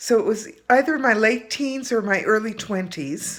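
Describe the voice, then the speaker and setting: In a very clean recording with a silent background, a woman speaks in a normal speaking voice at a fairly slow pace with ordinary pitch variation. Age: 60s. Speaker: reader sharing experience. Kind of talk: personal testimony.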